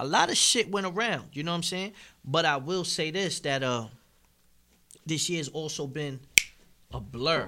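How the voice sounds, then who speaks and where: Speaking at a moderate pace with long, frequent pauses, a man uses a bright, sharp tone at a fairly high pitch with ordinary pitch variation. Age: 30s. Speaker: battle rapper and recording artist. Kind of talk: casual chat.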